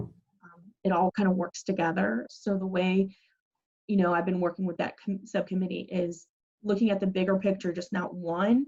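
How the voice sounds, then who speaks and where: A woman has a normal speaking voice at a medium pitch. She keeps a moderate pace and fairly even intonation. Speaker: city planning staff presenter. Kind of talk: public meeting presentation.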